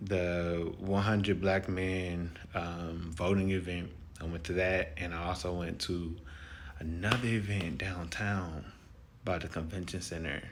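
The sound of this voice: This man's low voice moves at a fairly slow pace with fairly even intonation.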